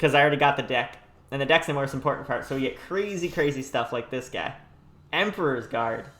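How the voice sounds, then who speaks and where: A man at a fairly high pitch and a very fast pace, with ordinary pitch variation. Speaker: gaming YouTuber. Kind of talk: gameplay commentary.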